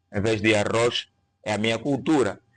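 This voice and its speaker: With a Kikongo accent, a man speaks at a fairly low pitch against a quiet background. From Angola. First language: Kikongo (speaking Portuguese). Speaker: linguistics teacher. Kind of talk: interview on linguistics. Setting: podcast studio.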